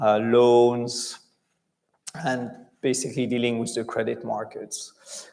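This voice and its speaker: A man's medium-pitched voice with a French accent, at a fairly slow pace. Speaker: bank chief executive. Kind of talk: conference interview.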